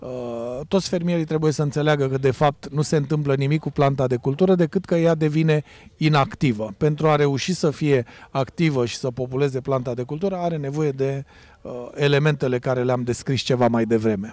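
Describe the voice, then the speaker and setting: Here a man talks at a fairly quick pace with fairly high pitch. His pitch variation is ordinary, and the sound is dry with no echo. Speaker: agrochemical research specialist. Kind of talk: interview. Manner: technical. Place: open country. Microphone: handheld.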